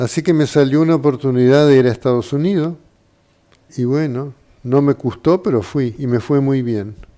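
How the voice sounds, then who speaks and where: With a Uruguayan accent, a man speaks at a fairly high pitch in a dark, mellow tone with ordinary pitch variation. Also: moderate pace. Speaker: doctor. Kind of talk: interview.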